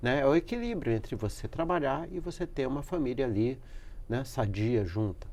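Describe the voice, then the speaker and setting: The intonation is lively as a man talks. He keeps to a fairly slow pace. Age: 60s. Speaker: professor. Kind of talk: interview. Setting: studio. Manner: halting.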